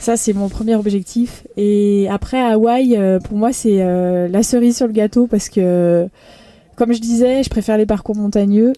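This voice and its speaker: A woman speaks at a fairly slow pace with a fairly high pitch and a dark, mellow tone. Her intonation is fairly even and her loudness very even. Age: 30s. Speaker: professional triathlete. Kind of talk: interview. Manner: hesitant, many fillers.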